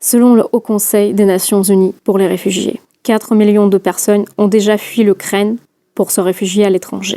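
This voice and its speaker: With a Russian accent, a woman speaks in a dark, mellow tone with monotone, flat intonation and very even loudness, heard in a dry, close sound with no echo. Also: medium pitch for a woman, moderate pace. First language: Russian (speaking French). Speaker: podcast host. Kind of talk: scripted narration.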